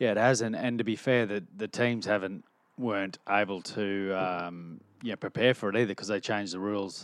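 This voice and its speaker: A man with an Australian accent talks at a fairly quick pace in a fairly low pitch, his intonation fairly even against a quiet background. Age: 40s. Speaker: rugby league coach and former player. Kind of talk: casual chat.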